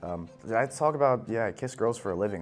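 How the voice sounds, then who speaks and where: A man with an American accent, fairly low pitch, very fast pace and lively intonation, with music in the background. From New Jersey. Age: 20s. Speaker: social media creator on a dating show. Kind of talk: casual confessional interview.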